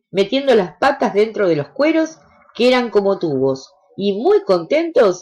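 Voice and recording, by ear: The words are read aloud in a natural voice.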